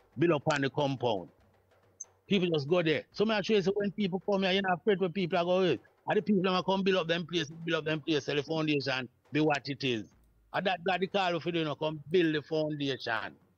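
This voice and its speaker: With a Jamaican accent, the speaker talks at a very fast pace with ordinary pitch variation. The background is quiet. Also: man, fairly high pitch for a man. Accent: Jamaican Patois-accented English. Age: 70s. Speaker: Rastafari priest and elder; Rastafari priest. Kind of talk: oral history reasoning. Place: home room.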